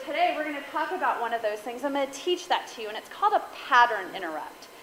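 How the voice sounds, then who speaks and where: A woman's high, animated voice with ordinary pitch variation, amid audible room echo and noticeable background noise. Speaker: guest speaker and podcaster. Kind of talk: talk to a women's group. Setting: stage with audience.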